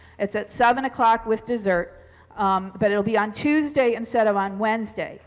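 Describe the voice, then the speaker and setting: Against a quiet background, a woman speaks at a fairly quick pace. Her intonation is fairly even. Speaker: pastor. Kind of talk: church announcements. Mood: friendly, informal. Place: church. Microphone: headset.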